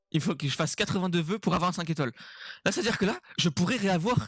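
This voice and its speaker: A man with a high voice speaks very fast in an animated tone, his pitch varying in an ordinary way, on a very clean recording with a silent background and a dry, close sound with no echo. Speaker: gaming YouTuber. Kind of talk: gaming commentary. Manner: loud.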